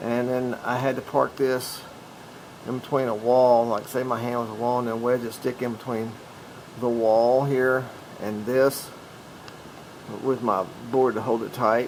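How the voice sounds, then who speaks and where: Against noticeable background noise, a man speaks at a medium pitch with monotone, flat intonation. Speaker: DIY camper builder. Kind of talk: DIY tutorial talk to camera. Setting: noisy camera mic. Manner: slow.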